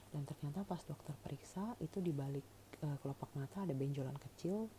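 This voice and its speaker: Her voice is very deep and low for a woman, with a dark, mellow tone, somewhat breathy, with ordinary pitch variation and a fairly quick pace. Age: 40s. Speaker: cancer patient vlogger. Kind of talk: personal testimony. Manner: casual, conversational with fillers.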